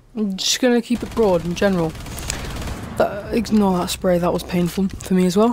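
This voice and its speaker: A woman with a British accent and a medium pitch, at a moderate pace, amid noticeable background noise. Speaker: gaming youtuber. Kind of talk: casual storytelling monologue. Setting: home recording with microphone. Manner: rambling, hesitant with many fillers.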